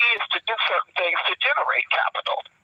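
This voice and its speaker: A man talks at a fairly quick pace. Noticeable background noise sits under his voice. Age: 60s. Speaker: inmate serving life sentence. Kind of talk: casual phone interview. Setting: prison phone call.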